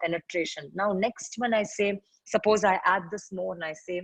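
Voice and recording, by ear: A woman talks at a moderate pace and medium pitch, with ordinary pitch variation and a slightly husky edge. The sound is dry and close, with no echo.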